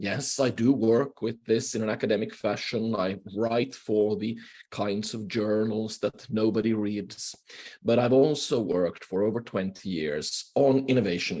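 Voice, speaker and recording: A man's fairly low voice with a Swedish accent, fairly slow pace and ordinary pitch variation. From Finland, Swedish-speaking. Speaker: professor, keynote speaker. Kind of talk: lecture. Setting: video call.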